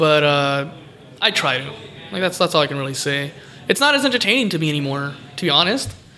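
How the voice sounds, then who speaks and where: Noticeable background noise surrounds a man speaking with an American accent at a fairly high pitch. He talks at a very fast pace but with long, frequent pauses. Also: ordinary pitch variation. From California. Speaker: pro wrestler. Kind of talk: casual interview. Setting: recorded on location in a game shop.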